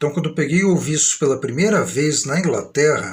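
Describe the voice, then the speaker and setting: A man with a São Paulo accent talks at a moderate pace with lively intonation. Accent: old-fashioned São Paulo. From Brazil, São Paulo state. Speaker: vlogger. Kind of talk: live stream monologue. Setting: live stream.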